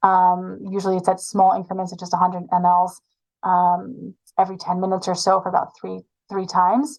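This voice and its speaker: A woman speaks at a medium pitch and a fairly quick pace. Her intonation stays fairly even. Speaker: sports medicine physician. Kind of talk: webinar lecture. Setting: online webinar. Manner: fast.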